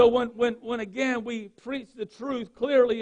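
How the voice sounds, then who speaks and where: A man talks at an extremely high pitch with a Southern US accent. His pace is fairly slow. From North Carolina, US South. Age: 40s. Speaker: pastor. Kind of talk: sermon. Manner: halting.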